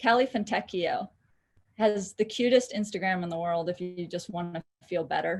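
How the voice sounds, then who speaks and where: A woman's somewhat breathy voice with an American accent and ordinary pitch variation. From California, US. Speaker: filmmaker and voice actor. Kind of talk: interview. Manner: animated.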